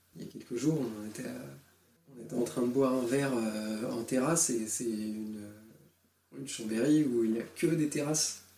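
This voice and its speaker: A man's medium-pitched voice at a moderate pace, with ordinary pitch variation, long and frequent pauses, big swings in loudness, and audible room echo. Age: 20s. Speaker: father sharing breastfeeding experience. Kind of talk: testimony. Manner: halting.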